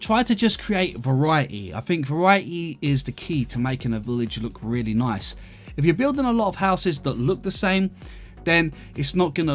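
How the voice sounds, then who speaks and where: Music plays in the background as a man speaks in a relaxed tone. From London, England. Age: 30s. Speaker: gaming YouTuber. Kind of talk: casual gameplay commentary and Q&A. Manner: relaxed, chatty.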